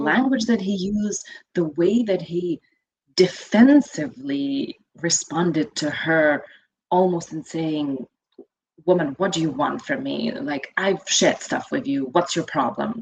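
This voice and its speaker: A woman's fairly low, animated voice with very wide pitch swings, at a fairly slow pace. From Lithuania. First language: Lithuanian. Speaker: financial educator. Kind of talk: interview.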